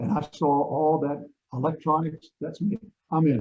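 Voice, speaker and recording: His voice comes out somewhat breathy. The man's pitch is fairly high. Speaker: radio broadcaster. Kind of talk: interview answer.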